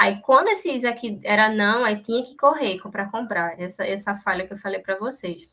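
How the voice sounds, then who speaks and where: A woman talks with a bright, sharp tone at a fairly high pitch. Her pitch variation is ordinary. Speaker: university student presenting. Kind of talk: class seminar presentation. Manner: fast.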